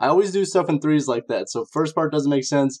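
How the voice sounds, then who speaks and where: A man has an ordinary speaking voice, with ordinary pitch variation and a fairly quick pace. The sound is dry and close with no echo, and the background is quiet. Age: 20s. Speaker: internet radio host. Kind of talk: casual chat.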